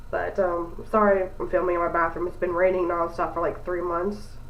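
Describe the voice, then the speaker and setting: Audible room echo and noticeable background noise accompany a woman speaking at a moderate pace with medium pitch. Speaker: beauty vlogger. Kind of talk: tutorial. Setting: bathroom. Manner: casual.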